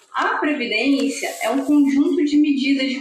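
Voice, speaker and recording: A high-pitched woman's voice at a fairly slow pace, with audible room echo. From Brasília, Brazil. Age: 30s. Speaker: lawyer and writer. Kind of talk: interview.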